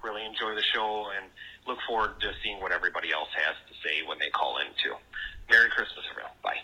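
A man's fast, low-pitched voice with a Wisconsin accent, a bright, sharp tone and ordinary pitch variation. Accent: Wisconsin, American Midwest.

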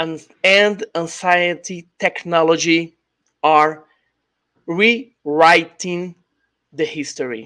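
Speaking at a very slow pace, a man with a Brazilian accent uses a high pitch, ordinary pitch variation, and a bright, sharp tone in a dry, close sound with no echo. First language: Portuguese. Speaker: YouTube channel host and ufologist. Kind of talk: interview. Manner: halting, frequent hesitations and repeats.

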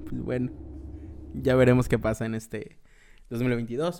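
A man speaks in a Mexican accent. His pitch is medium and his pace fairly slow. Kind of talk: casual chat.

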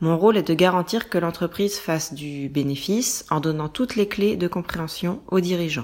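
A woman with an unremarkable speaking voice, fairly low in pitch, with ordinary pitch variation, at a moderate pace, on a very clean recording with a silent background. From France. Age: 20s. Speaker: management controller and mother. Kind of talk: scripted narration. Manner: clear, measured for learners.

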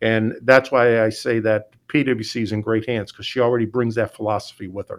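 A man with an American accent, medium pitch and monotone, flat intonation at a fairly quick pace, on a very clean recording with a silent background. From Pennsylvania (Scranton). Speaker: utility CEO. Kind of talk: interview.

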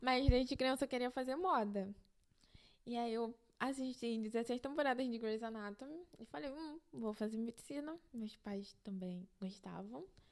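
The pace here is fairly slow, with ordinary pitch variation. It is a plain, everyday voice. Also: woman, fairly high pitch for a woman. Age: 20s. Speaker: fashion student. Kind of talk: casual chat. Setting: home studio in bedroom.

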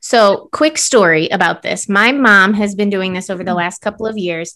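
This is a plain, everyday voice from a woman at a medium pitch. At a moderate pace with ordinary pitch variation, it comes from a very clean recording with a silent background. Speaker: podcast co-host. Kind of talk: casual chat.

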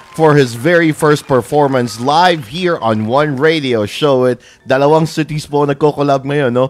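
A man with a Filipino accent, ordinary pitch variation and a moderate pace. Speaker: radio host. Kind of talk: radio interview, Taglish. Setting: internet radio livestream.

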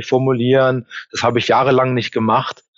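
A man speaks at a medium pitch. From Germany. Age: 40s. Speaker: employment reference consultant. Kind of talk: interview. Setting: video call.

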